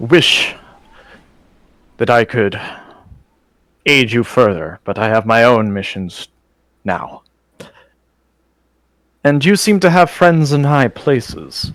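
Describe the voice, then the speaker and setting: Someone uses a put-on character voice at a fairly slow pace. Long, frequent pauses break up the delivery. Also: man, medium pitch for a man. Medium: actual play. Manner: formal, dignified.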